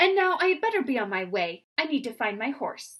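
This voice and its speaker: A woman performs a put-on character voice, high-pitched, fairly quick, and full of very wide pitch swings. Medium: read story. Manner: self-important, grandly dignified.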